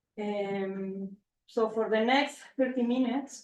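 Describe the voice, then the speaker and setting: A woman's fairly even intonation with a Spanish accent. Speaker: marine ecologist. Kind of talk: lecture. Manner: halting, many fillers.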